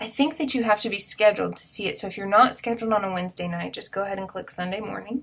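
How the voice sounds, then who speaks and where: Her pitch is medium and its variation ordinary as this woman talks. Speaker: children's ministry coordinator. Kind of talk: tutorial. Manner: fast; casual, filler-heavy.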